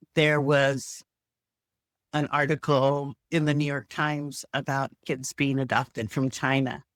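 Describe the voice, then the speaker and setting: A woman with an American accent speaks at a fairly slow pace in a very deep, low voice, recorded very cleanly against a silent background with a dry, close sound and no echo. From US, timber town. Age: 60s. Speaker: retired researcher and aunt. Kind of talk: casual chat.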